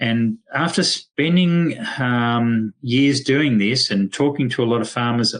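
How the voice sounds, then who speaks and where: Against a quiet background, a man with an Australian accent speaks at a medium pitch and a very slow pace, with ordinary pitch variation. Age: 60s. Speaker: veterinarian. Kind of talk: webinar presentation. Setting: online webinar. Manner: hesitant, many fillers.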